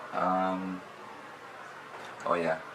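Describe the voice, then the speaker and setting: With a Canadian accent, a man speaks in a very deep, low, flat monotone, with audible room echo and noticeable background noise. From Canada, Sudbury, Ontario. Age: 30s. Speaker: online clothing reseller. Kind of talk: casual vlog monologue. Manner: casual, hesitant with many fillers.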